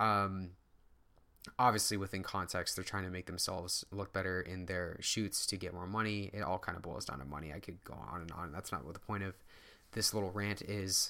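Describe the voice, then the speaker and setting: On a very clean recording with a silent background, a man with a very deep, low pitch and a bright, sharp tone talks fairly quickly with fairly even intonation. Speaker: fitness YouTuber and podcaster. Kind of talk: casual solo monologue. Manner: stutters and stumbles often; unscripted, rambling.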